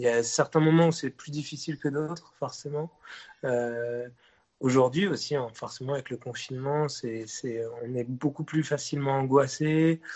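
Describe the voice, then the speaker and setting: A man with a fairly high pitch talks fairly slowly, keeping his intonation fairly even. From Brittany, France (Rennes). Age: 20s. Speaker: singer and musician. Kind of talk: interview. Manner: hesitant, many repeated words.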